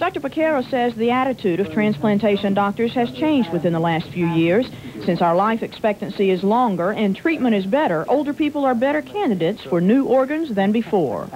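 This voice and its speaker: A woman talks at a fairly quick pace with hardly any pauses, very even loudness and very wide pitch swings. Noticeable background noise is present. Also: fairly high pitch for a woman. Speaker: health reporter. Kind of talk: TV news report.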